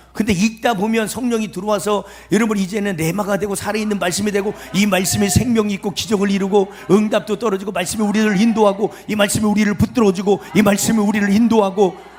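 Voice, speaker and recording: A man talks at a very fast pace in an animated tone. His pitch is high, with music in the background. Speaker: pastor. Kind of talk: sermon. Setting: revival meeting at prayer retreat with audience. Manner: animated, emphatic.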